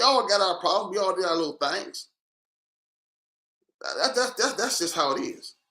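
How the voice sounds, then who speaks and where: With a raised, projected voice, a man speaks in a high pitch and a bright, sharp, animated tone, swinging very widely in pitch at a moderate pace broken by long, frequent pauses. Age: 60s. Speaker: social commentator. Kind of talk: live stream monologue.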